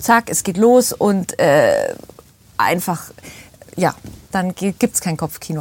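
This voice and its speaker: Here a woman speaks at a medium pitch and a fairly slow pace. Her voice is somewhat breathy. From Bavaria, Starnberger See area. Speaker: actress and voice actor. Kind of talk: casual chat.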